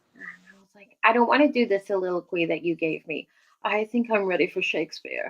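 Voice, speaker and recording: Using a normal speaking voice, a woman talks at a fairly quick pace with medium pitch, lively intonation and big swings in loudness. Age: 60s. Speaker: podcast host. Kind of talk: casual chat. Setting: live stream.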